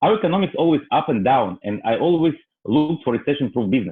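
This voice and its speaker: This man talks at a very fast pace with lively intonation. He has a strong non-native accent. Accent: heavy foreign. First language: not English. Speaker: real estate broker. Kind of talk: testimony. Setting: online webinar. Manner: halting.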